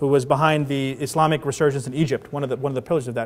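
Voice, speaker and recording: A man is speaking. He has an American accent. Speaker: imam and 9/11 activist speaker. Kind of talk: Q&A after a public talk. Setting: conference hall with audience. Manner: repeats words often, halting.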